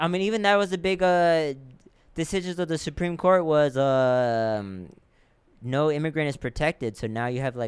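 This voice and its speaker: With a Spanish accent and lively intonation, a man talks at a moderate pace in a very clean recording with a silent background. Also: fairly high pitch for a man. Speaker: comedian and podcast host. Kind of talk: casual chat.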